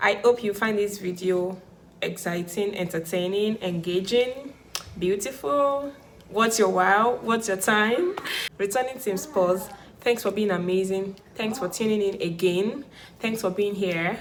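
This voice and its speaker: With noticeable background noise behind her, a woman speaks at a fairly slow pace in a medium pitch, her tone animated and her pitch variation ordinary. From Nigeria. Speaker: YouTuber, immigrant vlogger. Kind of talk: casual vlog monologue.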